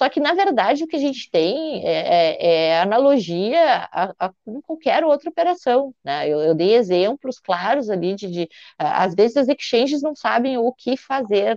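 A woman's high-pitched voice with very wide pitch swings, a fairly slow pace, and a dry, close sound with no echo. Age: 40s. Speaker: accountant and crypto tax specialist. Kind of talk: interview. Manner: halting, many repetitions and fillers.

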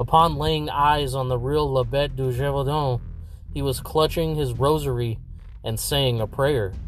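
With music in the background, a man speaks at a fairly slow pace and a fairly high pitch, his intonation fairly even. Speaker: podcast host.

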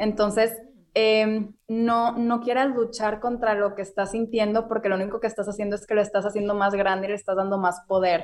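A woman's fairly high-pitched voice in a monotone, flat intonation. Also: fairly quick pace. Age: 20s. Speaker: restaurant owner and wellness influencer. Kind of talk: interview.

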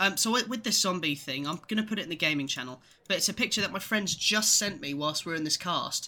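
Very fast and with lively intonation, a man with an English accent speaks in a high, bright, sharp, raised and projected voice. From England. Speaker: podcast co-host. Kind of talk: casual chat.

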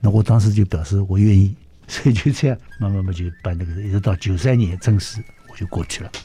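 Fairly low in pitch, a man speaks at a fairly quick pace with ordinary pitch variation. His tone is dark and mellow, and somewhat breathy. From Shanghai, China. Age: 80s+. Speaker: orchestra conductor. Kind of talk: interview. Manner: lively.

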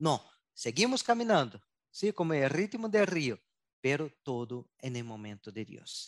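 His pitch sits fairly high for a man and swings very widely. The man talks at a fairly slow pace. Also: dry, close sound with no echo. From southern Brazil. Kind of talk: interview. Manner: mixes Portuguese and Spanish.

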